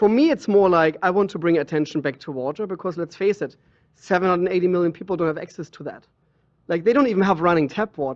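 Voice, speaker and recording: A man with a German accent talks very fast at a high pitch. The background is quiet. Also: ordinary pitch variation. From Germany. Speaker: water sommelier. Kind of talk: interview.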